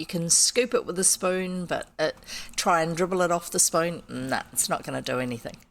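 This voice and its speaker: In a New Zealand accent, a woman talks at a moderate pace with ordinary pitch variation. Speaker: streamer reading old children's books. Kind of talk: casual chat. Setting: live stream.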